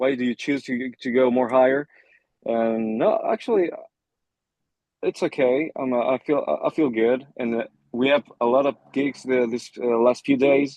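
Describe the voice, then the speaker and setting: Speaking at a moderate pace with long, frequent pauses, a man with a slight non-native accent keeps a medium pitch and fairly even intonation. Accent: slight foreign. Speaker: rock band lead singer. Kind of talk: interview. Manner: halting.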